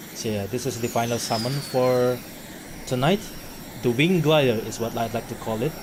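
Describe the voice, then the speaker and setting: Amid noticeable background noise and audible room echo, a man of medium pitch speaks with ordinary pitch variation and long, frequent pauses. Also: moderate pace. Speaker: vtuber streamer. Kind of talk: casual live-stream talk. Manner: halting.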